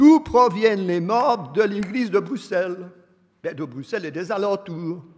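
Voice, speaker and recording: A man's high voice at a very slow pace, with lively intonation. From Belgium, Verviers (Wallonia). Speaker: preacher. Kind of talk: sermon.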